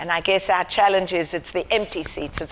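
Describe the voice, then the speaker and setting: A woman speaks at a medium pitch with a South African accent. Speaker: charity founder. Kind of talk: lecture. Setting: university theatre with audience. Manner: halting.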